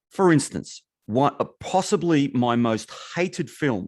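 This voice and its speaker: A man with an Australian accent and a fairly high voice, fairly slow and lively in intonation, on a very clean recording with a silent background. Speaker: podcast co-host. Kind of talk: casual chat.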